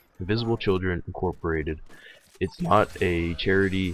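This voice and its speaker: Over music in the background, a man with a very deep, low pitch speaks with ordinary pitch variation. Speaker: gaming commentator. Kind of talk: gameplay commentary rant. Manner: hesitant, many fillers.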